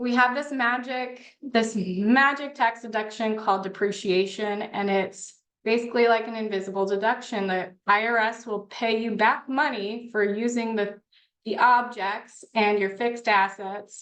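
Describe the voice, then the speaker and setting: Fairly even intonation at a moderate pace, in a normal speaking voice. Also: woman, fairly high pitch for a woman. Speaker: tax professional. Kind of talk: online workshop presentation.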